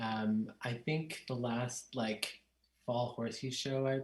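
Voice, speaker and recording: This man talks at a medium pitch in a monotone, flat delivery. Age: 30s. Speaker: harpist. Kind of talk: casual interview.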